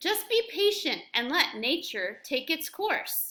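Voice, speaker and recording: Using a put-on character voice, a woman talks fairly slowly at an extremely high pitch with very wide pitch swings. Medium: read story. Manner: calm, matter-of-fact.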